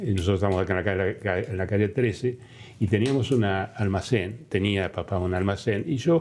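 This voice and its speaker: Here a man talks at a fairly slow pace, with a fairly low pitch and ordinary pitch variation. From Argentina, Balcarce (Buenos Aires province). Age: 80s+. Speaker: former museum foundation president. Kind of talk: interview testimony. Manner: halting, many fillers.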